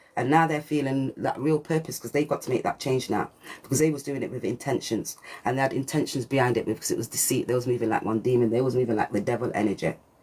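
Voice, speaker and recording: Words come out very fast while noticeable noise fills the background. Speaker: tarot reader. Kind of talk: spiritual reading.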